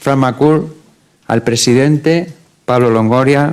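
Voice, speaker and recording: This man's voice sits fairly high in pitch, with fairly even intonation. He speaks at a fairly slow pace. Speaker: football coach. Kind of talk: press conference speech. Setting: press conference. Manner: formal.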